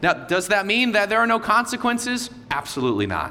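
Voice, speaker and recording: Loud and at a moderate pace, a man speaks with very wide pitch swings amid noticeable background noise and audible room echo. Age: 30s. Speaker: visiting pastor. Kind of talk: Sunday sermon, passionate repeated refrains to the congregation. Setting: church service with congregation. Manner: loud, high-energy; emphatic, rising repetition in full preaching flow.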